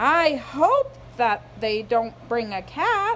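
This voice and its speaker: A female-sounding voice puts on a character, raised and projected. It moves very slowly over clear background noise. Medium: read story. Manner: homespun, folksy.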